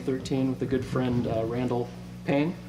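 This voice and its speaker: Speaking at a fairly quick pace in an American accent, a man comes through with noticeable background noise and audible room echo. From US Pacific Northwest, Bellingham, Washington. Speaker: singer-songwriter. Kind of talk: interview. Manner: soft-spoken; halting. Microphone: too far from the mic.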